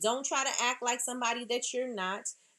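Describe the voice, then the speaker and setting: A woman talks in a high pitch with a New York accent. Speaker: small business owner giving talk. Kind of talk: motivational business talk.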